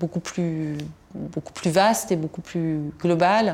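Her pace is fairly slow and her pitch fairly low for a woman. The recording is very clean, with a silent background. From Tunisia. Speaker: historian. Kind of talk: interview. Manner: halting, many repetitions and fillers.

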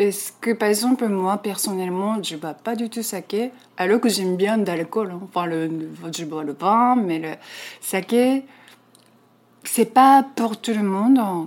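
This woman has a Japanese accent. She speaks at a very slow pace. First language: Japanese (speaking French). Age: 40s. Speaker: Japanese expatriate. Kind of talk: interview. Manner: halting.

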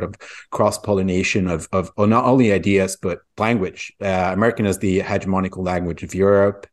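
The speaker has a Swedish accent and keeps a moderate pace. Intonation stays fairly even against a quiet background. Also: man. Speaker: podcast co-host. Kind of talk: casual discussion.

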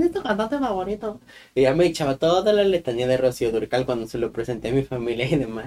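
In a central Mexican accent, a man speaks at a very fast pace and medium pitch. His voice moves through very wide pitch swings. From Mexico, Guanajuato. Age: 20s. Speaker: podcast co-host. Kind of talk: casual chat.

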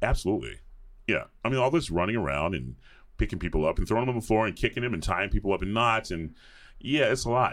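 In an American accent, a man with a fairly low, vocal-fry voice races along very fast with lively intonation. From US South, suburbs of Atlanta, Georgia. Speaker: opera singer (bass). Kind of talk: casual interview chat.

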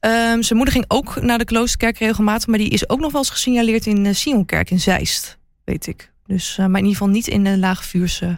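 A woman with a normal speaking voice talks at a fairly quick pace with ordinary pitch variation. The recording is very clean, with a silent background. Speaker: royalty reporter and TV presenter. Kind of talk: casual chat.

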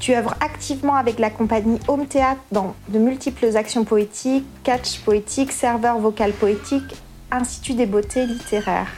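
Against noticeable background noise, a woman speaks at a moderate pace in a fairly high pitch, with fairly even intonation and very even loudness. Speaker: podcast host. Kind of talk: scripted introduction and interview. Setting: festival at a poetry house.

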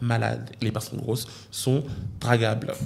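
A man's voice with vocal fry. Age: 20s. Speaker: YouTuber. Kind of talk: casual chat. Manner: animated.

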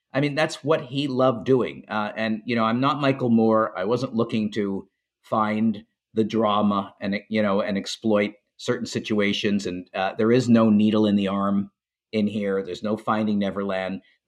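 With a Canadian accent, a man speaks in a plain, everyday voice at a fairly low pitch, with ordinary pitch variation and a moderate pace. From Montreal, Canada. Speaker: documentary filmmaker. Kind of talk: interview.

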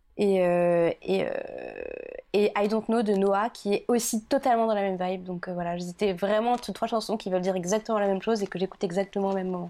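On a very clean recording with a silent background, a woman of medium pitch and a dark, mellow tone speaks at a fairly quick pace with fairly even intonation. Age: 20s. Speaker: podcast guest. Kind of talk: casual chat.

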